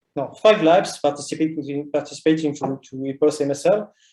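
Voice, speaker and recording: A man's fairly high voice with a French accent and a dark, mellow tone. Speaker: geoscience researcher. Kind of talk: online seminar talk. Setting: online meeting. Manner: halting, many fillers.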